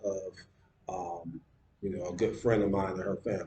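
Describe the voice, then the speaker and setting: A man with an American accent, a dark, mellow tone, a somewhat breathy quality and fairly even intonation. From US, Detroit. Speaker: video blogger. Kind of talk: casual vlog monologue. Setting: at home on laptop. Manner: halting, many fillers and repeats.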